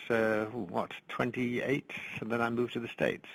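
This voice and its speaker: A man with an American accent speaks at a medium pitch with fairly even intonation. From northern England. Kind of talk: conversational, unhurried.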